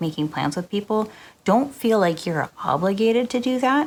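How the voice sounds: A soft-spoken woman at a moderate pace, with ordinary pitch variation.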